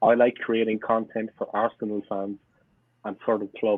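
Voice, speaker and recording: A man's medium-pitched voice with a strong Cork accent. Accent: strong Irish (Cork). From Ireland, Cork city south side. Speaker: football fan YouTuber. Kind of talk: podcast interview. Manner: animated.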